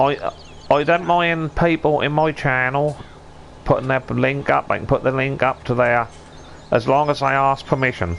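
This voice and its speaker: With a Suffolk accent, a man talks at a moderate pace in a fairly high pitch with ordinary pitch variation over noticeable background noise. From Suffolk, eastern England. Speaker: gaming streamer. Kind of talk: casual chat.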